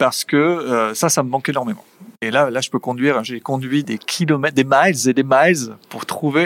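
This man has a fairly high pitch and ordinary pitch variation, speaking at a moderate pace in a dry, close sound with no echo. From French Basque Country, Saint-Jean-de-Luz. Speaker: business executive. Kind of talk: interview. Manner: energetic.

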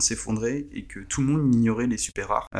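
Talking fairly quickly, a man lets his pitch vary in an ordinary way. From Paris. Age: 30s. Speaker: football fantasy expert. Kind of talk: podcast interview.

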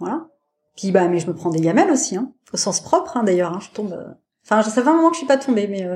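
A somewhat breathy woman talks at a very fast pace and medium pitch, with very wide pitch swings and big swings in loudness, on a very clean recording with a silent background. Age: 40s. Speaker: parasurfer, wheelchair user. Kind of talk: interview conversation. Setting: podcast interview. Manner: hesitant, many fillers.

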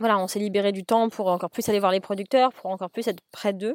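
This woman's voice sits at a medium pitch. The sound is dry and close, with no echo. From Paris, France. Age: 30s. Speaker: chef and restaurant owner. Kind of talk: interview. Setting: in a car, remote call. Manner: halting, many fillers.

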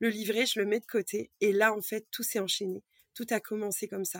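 The woman's pitch sits fairly high. She talks at a moderate pace with fairly even intonation. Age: 30s. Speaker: card reader and energy healer. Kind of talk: casual interview chat. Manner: halting.

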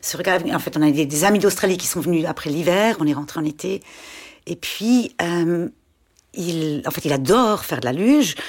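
Lively intonation colors a woman's ordinary speaking voice at a fairly low pitch. She keeps a moderate pace. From German-speaking Switzerland, Schaffhausen. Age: 40s. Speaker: parent of a child with a muscle disease, former doctor, shop owner. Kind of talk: casual interview.

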